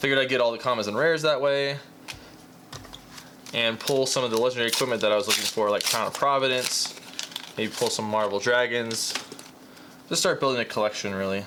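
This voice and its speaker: Over noticeable background noise, a man speaks at a very fast pace and a medium pitch. His intonation is fairly even, with long, frequent pauses. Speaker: card game YouTuber. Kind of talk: casual unboxing commentary.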